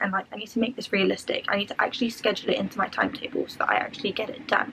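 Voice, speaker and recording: A woman with a London accent speaks in a fairly even intonation over noticeable background noise. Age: 20s. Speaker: student vlogger. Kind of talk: tutorial. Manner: fast.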